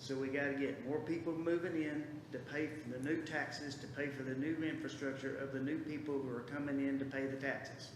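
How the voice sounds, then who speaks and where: In an American accent, the speaker talks at a fairly quick pace with monotone, flat intonation, amid audible room echo and noticeable background noise. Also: man, fairly high pitch for a man, hardly any pauses. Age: 60s. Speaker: public commenter at school board meeting. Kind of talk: public comment. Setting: school board meeting. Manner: casual, rambling speech.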